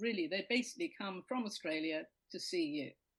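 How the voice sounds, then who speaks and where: A woman talks with a British accent and lively intonation. Her voice is somewhat breathy. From Britain. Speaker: comedian and poetry show host. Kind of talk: casual chat.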